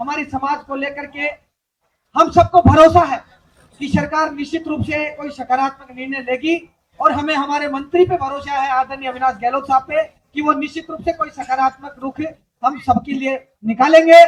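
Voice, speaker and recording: A man talks at a fairly slow pace in an extremely high pitch. His intonation stays fairly even. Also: big swings in loudness. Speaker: stage emcee at a protest rally. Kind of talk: rally announcements. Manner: loud.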